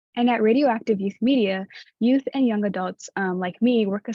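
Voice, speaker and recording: At a fairly quick pace, a woman speaks in a normal speaking voice, medium in pitch, with fairly even intonation. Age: 20s. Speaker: community outreach assistant at youth radio program. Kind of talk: workshop presentation. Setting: virtual workshop.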